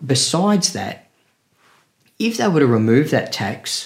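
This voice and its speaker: Lively intonation marks this man's speech in an Australian accent. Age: 50s. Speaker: podcast co-host, car YouTuber. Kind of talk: casual chat. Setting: remote video call.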